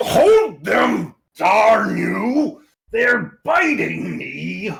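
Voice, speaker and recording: A man's raspy, put-on character voice at a very slow pace. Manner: cursing, shouting.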